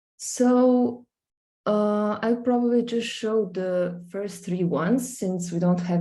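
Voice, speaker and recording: Speaking very slowly in a Slovenian accent, a woman uses a dark, mellow tone with ordinary pitch variation. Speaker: visual artist. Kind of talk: screen-share presentation. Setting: live stream, screen sharing. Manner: hesitant, many fillers.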